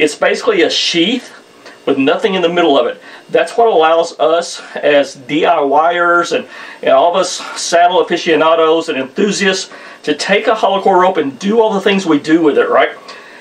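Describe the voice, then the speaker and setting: Over noticeable background noise, a man with a Southern US accent talks at a moderate pace in a high pitch, his pitch variation ordinary. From US South, southern Missouri. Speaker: outdoors video creator, saddle hunter. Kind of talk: casual tutorial. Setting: indoors, archery room at home. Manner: casual, repetitive with false starts.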